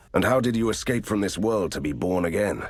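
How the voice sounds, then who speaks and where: A man's put-on character voice, fairly low in pitch, at a fairly quick pace. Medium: video game. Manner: deadpan, sarcastic.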